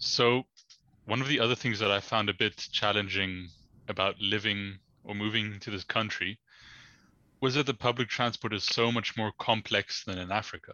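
A man's plain, everyday voice, fairly low in pitch, at a moderate pace with fairly even intonation. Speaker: guest. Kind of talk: casual interview.

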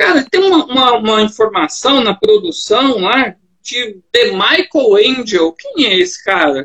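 A man uses a raised, projected voice at an extremely high pitch, with a bright, sharp tone and very wide pitch swings. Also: fairly slow pace. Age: 40s. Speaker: podcast host. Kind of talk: casual interview chat. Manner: animated.

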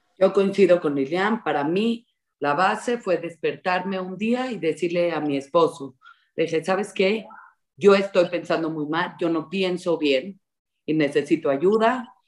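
With a plain, everyday voice, a woman talks at a fairly slow pace and a fairly low pitch, with ordinary pitch variation. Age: 30s. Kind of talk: interview.

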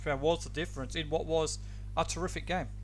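This man talks at a very fast pace. He has an Australian accent. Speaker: football podcast co-host and interviewer. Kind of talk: casual banter and interviewing.

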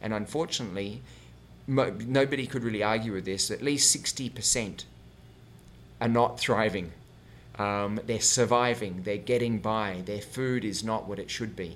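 At a fairly slow pace, a man talks in an ordinary speaking voice with a fairly low pitch and ordinary pitch variation. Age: 40s. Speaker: health and wellness coach. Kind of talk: interview. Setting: host's home.

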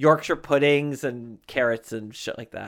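A man with an American accent talks at a fairly slow pace in a plain, everyday voice, fairly high in pitch with fairly even intonation. The recording is very clean, with a silent background. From Connecticut. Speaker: podcast host. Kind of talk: casual chat.

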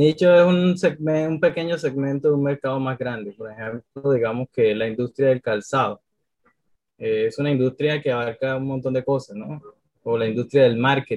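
In an unremarkable speaking voice, the speaker moves at a moderate pace with ordinary pitch variation. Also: man, medium pitch for a man. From Colombia, Cartagena (Caribbean coast). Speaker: social media strategist. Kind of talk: interview.

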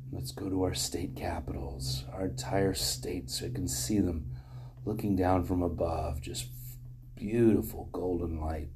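A man speaks at a fairly slow pace in a very deep, low pitch. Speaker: meditation leader. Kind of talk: guided meditation. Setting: room with live group.

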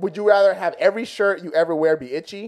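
This man's speech moves at a moderate speed. Ordinary variation shapes his pitch. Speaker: podcast co-host. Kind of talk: casual chat.

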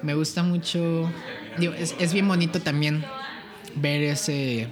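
A man talks over noticeable background noise. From Querétaro, Mexico. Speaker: singer-songwriter and music producer. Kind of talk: casual chat.

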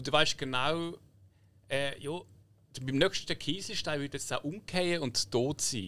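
Speaking with a Swiss accent, a man uses a bright, sharp tone and a fairly high pitch. His pace is fairly slow, broken by long, frequent pauses. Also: ordinary pitch variation. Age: 30s. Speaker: podcast co-host. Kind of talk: casual chat.

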